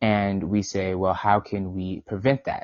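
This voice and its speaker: A man with an American accent, fairly low in pitch, at a moderate pace. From New York City (Brooklyn). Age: 20s. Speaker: marketing agency owner. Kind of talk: podcast interview. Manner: halting, with fillers and repeats.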